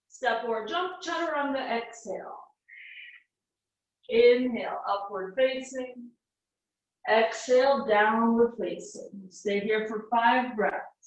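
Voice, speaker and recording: The speech is very slow, broken by long, frequent pauses, with ordinary pitch variation. Room echo is audible. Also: woman, fairly high pitch for a woman. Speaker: yoga teacher. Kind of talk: guided yoga class. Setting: small home room. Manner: instructional, breath-paced cues.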